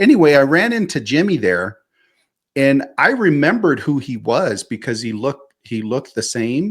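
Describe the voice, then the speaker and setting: A normal speaking voice with lively intonation moves at a moderate pace on a very clean recording with a silent background. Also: man. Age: 50s. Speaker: podcast co-host. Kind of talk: casual chat.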